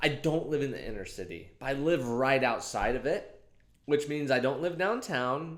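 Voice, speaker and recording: A man speaks at a moderate pace with a fairly high pitch and vocal fry. His pitch swings very widely, and the room echo is audible. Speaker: comedic vlogger. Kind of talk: casual comedic monologue to camera. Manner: warmer voice than usual.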